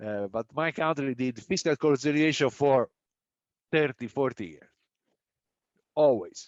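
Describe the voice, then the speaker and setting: Moving at a fairly slow pace with long, frequent pauses, a man with an Italian accent and a fairly high pitch shows ordinary pitch variation and big swings in loudness. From Italy. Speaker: economist, panel discussant. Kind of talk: panel discussion. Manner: halting, many fillers and restarts.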